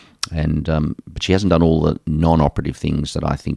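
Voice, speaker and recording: A man with an Australian accent speaks in a very deep, low voice, recorded with a dry, close sound and no echo. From Australia, Geelong. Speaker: sports medicine doctor. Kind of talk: interview.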